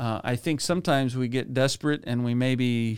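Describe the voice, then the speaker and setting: The delivery has a moderate pace and ordinary pitch variation in a plain, everyday voice. Nothing intrudes on this very clean recording, whose background is silent. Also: man. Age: 50s. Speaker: business advisory franchise owner, keynote speaker. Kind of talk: interview.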